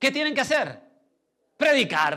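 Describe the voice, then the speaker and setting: A raised, projected male voice, bright and sharp in tone. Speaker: pastor. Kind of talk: sermon.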